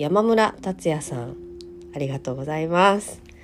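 Noticeable background noise behind a woman's very deep, low voice with very wide pitch swings. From Hyogo, Japan. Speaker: podcaster. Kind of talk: solo podcast talk. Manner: hesitant, many fillers.

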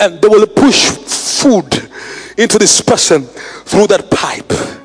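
A man with a high pitch speaks in an animated tone. Background noise is noticeable. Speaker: preacher. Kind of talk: sermon. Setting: online livestream. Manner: animated, call-and-response, urging the congregation to answer; emphatic, repeating key phrases for effect.

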